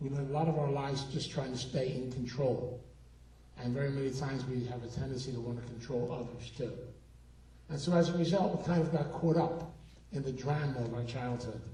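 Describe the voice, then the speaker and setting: Over noticeable background noise and audible room echo, a man talks fairly quickly at a medium pitch. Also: fairly even intonation. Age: 70s. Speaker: recovery speaker and therapist. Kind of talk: keynote talk. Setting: stage with audience.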